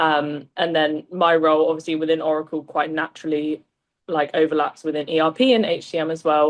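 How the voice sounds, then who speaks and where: A woman speaks in a very deep, low voice. Her intonation stays fairly even. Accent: British. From southern England, small town near London. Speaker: recruitment agency lead. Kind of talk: casual interview chat.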